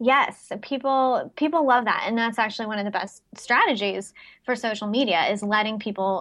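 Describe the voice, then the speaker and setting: A woman speaks in an ordinary speaking voice with ordinary pitch variation. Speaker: social media marketing expert. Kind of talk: casual interview chat.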